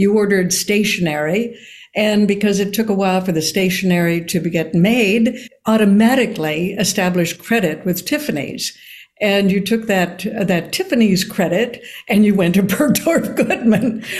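Speaking at a moderate pace and medium pitch, a woman has a somewhat breathy voice, ordinary pitch variation and very even loudness. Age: 80s. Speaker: actor and author. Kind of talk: interview conversation.

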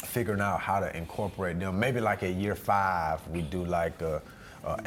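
A man speaks at a fairly slow pace. His pitch is very deep and low, with ordinary variation. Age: 30s. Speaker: artist manager and entrepreneur. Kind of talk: casual chat. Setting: hotel suite recording.

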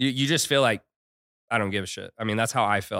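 A man speaks at a very fast pace with lively intonation and a bright, sharp tone. The recording is very clean, with a silent background. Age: 30s. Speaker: entrepreneur. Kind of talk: interview.

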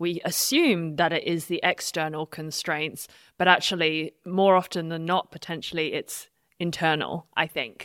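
A woman speaks with a plain, everyday voice, fairly low in pitch, at a moderate pace with fairly even intonation. The recording is very clean, with a silent background. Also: dry, close sound with no echo. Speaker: podcast host. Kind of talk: casual interview.

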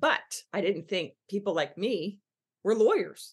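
A woman with an American accent has a normal speaking voice at a medium pitch. She talks at a fairly slow pace with lively intonation. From Philadelphia, US East Coast. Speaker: business coach. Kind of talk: podcast interview.

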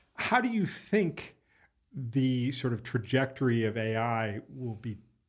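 This man has a normal speaking voice. His pitch is medium, with ordinary pitch variation. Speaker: podcast producer and co-host. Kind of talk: casual chat. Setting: studio.

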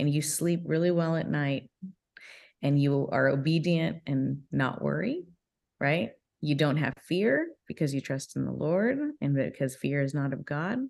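In an American accent, a woman with a very deep, low pitch speaks at a fairly slow pace. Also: ordinary pitch variation. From Southern California. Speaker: business executive. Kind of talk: interview.

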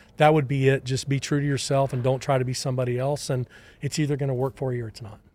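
A man with a Texan accent talks at a very fast pace, his pitch fairly high. His voice is somewhat breathy, with monotone, flat intonation. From Texas. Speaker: baseball scouting executive. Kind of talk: interview.

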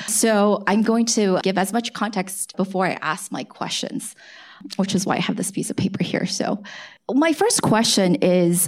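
With an American accent, a woman speaks at a moderate pace in an unremarkable speaking voice, her pitch medium and its variation ordinary. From US, born in China. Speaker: tech podcast co-host, interviewer. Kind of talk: live on-stage interview. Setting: stage with audience.

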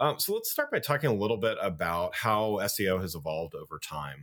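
Speaking at a moderate tempo, a man uses a plain, everyday voice pitched fairly low. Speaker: podcast host and marketing consultant. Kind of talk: interview podcast.

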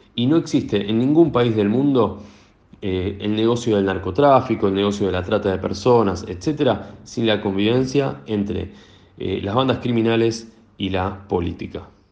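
Pitch varies in an ordinary way at a moderate pace. Room echo is audible. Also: man, fairly low pitch for a man. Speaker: newspaper journalist. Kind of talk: interview. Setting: phone call.

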